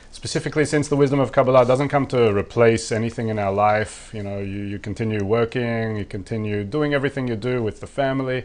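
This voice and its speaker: With hardly any pauses, a man talks very fast at a medium pitch with ordinary pitch variation. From Australia. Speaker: online course instructor. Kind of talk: live-stream Q&A. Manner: casual, with many repetitions and restarts.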